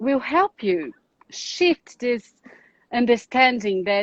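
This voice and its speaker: With a Brazilian accent, a woman speaks at a very slow pace in a fairly high-pitched voice. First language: Portuguese. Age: 40s. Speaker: psychoanalyst and relationship specialist. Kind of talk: live online talk. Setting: Instagram live video stream.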